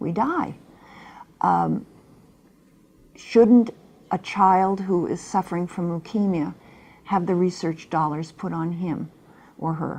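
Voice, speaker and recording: The pace is very slow. Long, frequent pauses run throughout. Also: woman, fairly low pitch for a woman, fairly even intonation, quiet background. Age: 70s. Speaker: talk show host. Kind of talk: interview.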